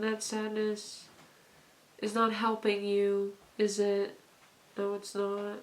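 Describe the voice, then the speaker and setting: A woman speaks very slowly in a monotone, flat, medium-pitched voice over noticeable background noise. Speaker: tarot reader. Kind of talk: pick-a-card tarot reading. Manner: casual, hesitant with fillers.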